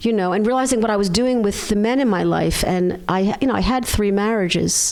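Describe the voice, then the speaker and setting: With a Philadelphia accent, a woman speaks at a medium pitch and a fairly quick pace, her pitch varying in an ordinary way and her loudness very even, against noticeable background noise. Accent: American, Philadelphia. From US, Philadelphia. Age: 60s. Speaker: chiropractor. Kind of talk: interview.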